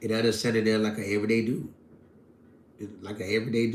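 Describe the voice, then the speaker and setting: Over audible room echo, a man with a fairly low voice rattles along at a very fast pace in a monotone, flat delivery. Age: 40s. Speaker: live streamer. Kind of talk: casual chat.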